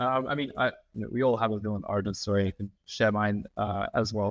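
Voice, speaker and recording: Recorded dry and close with no echo on a very clean recording with a silent background, a man with an American accent speaks fairly quickly at a fairly low pitch with ordinary pitch variation. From Australia, Melbourne. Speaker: sustainability consultancy founder. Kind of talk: podcast interview.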